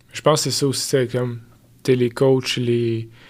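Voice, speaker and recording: This man talks at a medium pitch with a flat, monotone delivery. The recording is very clean, with a silent background. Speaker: fitness coach. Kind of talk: casual chat.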